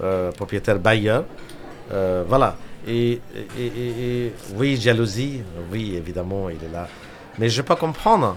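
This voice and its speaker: A man with an Indian accent talks fairly slowly at a medium pitch, with ordinary pitch variation and long, frequent pauses. Noticeable background noise is present. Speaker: restaurateur. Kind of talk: casual interview chat. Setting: radio studio. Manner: halting, hesitant with fillers.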